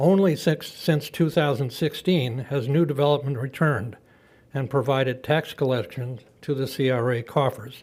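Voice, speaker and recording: Somewhat breathy and fairly high in pitch, a man speaks at a moderate pace on a very clean recording with a silent background. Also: ordinary pitch variation. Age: 80s+. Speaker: public commenter, retired real estate executive. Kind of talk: public comment at county meeting. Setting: county commission meeting chamber. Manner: formal.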